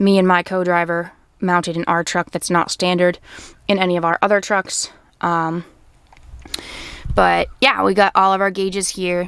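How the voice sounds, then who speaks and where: With an American accent, a woman with a fairly low pitch speaks in a monotone, flat way at a moderate pace, leaving long, frequent pauses. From Maine, USA. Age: 20s. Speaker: truck driver. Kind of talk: casual talk to camera.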